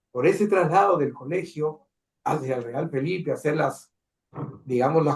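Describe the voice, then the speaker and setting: This man's pitch sits fairly high. He speaks at a moderate pace, and his voice is somewhat breathy. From Peru. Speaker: cultural program host. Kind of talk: interview.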